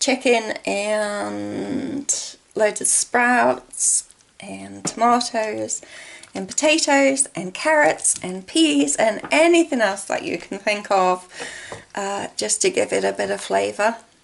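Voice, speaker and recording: A woman speaks at a very slow pace with an English accent. Noticeable background noise is present. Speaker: video blogger with COPD. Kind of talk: casual vlog chat. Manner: paced to regulate breathing.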